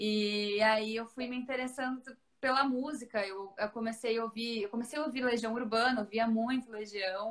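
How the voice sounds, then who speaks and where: At a moderate pace, a woman speaks in an unremarkable speaking voice. Her pitch is fairly high. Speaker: radio presenter. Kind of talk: casual interview.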